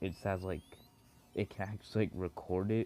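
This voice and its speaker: Intonation stays fairly even in a voice with a dark, mellow tone. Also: man. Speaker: gaming youtuber. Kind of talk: gameplay commentary. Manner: halting, filler-heavy.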